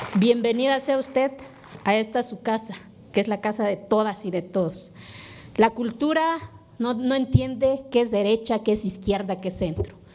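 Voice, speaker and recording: Speaking in an Oaxacan accent at a moderate pace, a woman with a fairly high pitch and ordinary pitch variation comes through over noticeable background noise. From Oaxaca, Mexico (Sierra Sur). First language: Zapotec (speaking Spanish). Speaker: legislator. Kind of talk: parliamentary speech.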